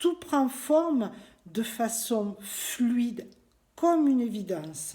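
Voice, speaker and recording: A woman's somewhat breathy, dark and mellow voice at a very slow pace with very wide pitch swings, on a very clean recording with a silent background. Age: 60s. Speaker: former nurse giving a client testimonial. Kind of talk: testimony.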